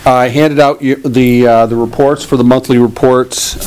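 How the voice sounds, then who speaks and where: Someone talks at a moderate pace over light background noise. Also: man. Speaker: police chief. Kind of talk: report to board. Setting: town meeting room. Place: hall. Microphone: podium.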